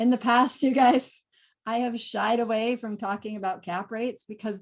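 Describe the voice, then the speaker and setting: Her fairly high-pitched voice shows ordinary pitch variation as this woman speaks. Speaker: real estate investor. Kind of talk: webinar presentation. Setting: online webinar. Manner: fast.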